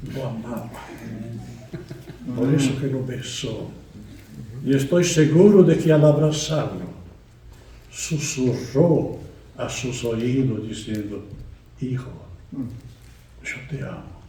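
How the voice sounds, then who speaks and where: Somewhat breathy with a dark, mellow tone, the voice moves at a very slow pace with long, frequent pauses, ordinary pitch variation, big swings in loudness and audible room echo. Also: man, medium pitch for a man. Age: 80s+. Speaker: guest preacher. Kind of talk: sermon. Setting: church.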